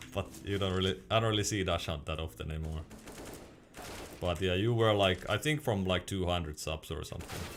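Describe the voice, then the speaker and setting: A man with a Finnish accent has a very deep, low pitch. He talks at a fairly quick pace with ordinary pitch variation. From Finland. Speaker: gaming streamer and mouse reviewer. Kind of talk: live stream chat while gaming. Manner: halting.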